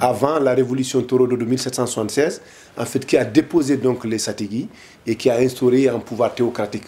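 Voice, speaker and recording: Here a man speaks at a fairly quick pace with medium pitch. His intonation stays fairly even. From Mauritania, Gorgol region, Senegal river valley. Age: 50s. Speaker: political activist, deportation witness. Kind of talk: interview testimony. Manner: hesitant, many fillers.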